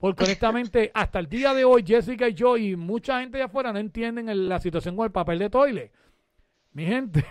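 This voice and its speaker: A man's high-pitched voice at a fairly quick pace, with ordinary pitch variation, on a very clean recording with a silent background. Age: 40s. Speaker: radio and web show host. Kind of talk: casual talk show. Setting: studio. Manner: animated.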